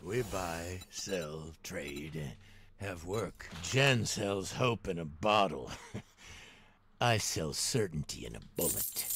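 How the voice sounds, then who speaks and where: A man puts on a character voice with a very deep, low pitch and lively intonation. He talks at a very slow pace over light background noise. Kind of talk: scripted character voice line. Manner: gruff, menacing.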